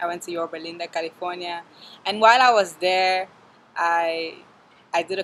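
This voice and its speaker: Noticeable background noise sits behind a woman's voice. Her intonation is fairly even and her pace moderate. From Cameroon, Yaoundé. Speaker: university student. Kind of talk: testimonial interview.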